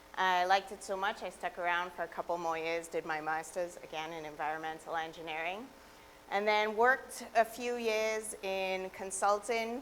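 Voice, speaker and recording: With a Trinidadian accent, the speaker moves at a moderate pace and uses ordinary pitch variation. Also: woman, medium pitch for a woman. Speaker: environmental director, guest lecturer. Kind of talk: public lecture.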